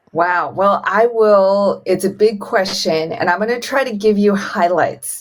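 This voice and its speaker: At a fairly slow pace and hardly any pauses, this woman has a normal speaking voice, medium pitch and ordinary pitch variation. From Iowa, US Midwest (born in Beijing). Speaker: real estate syndication investor. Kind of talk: podcast interview.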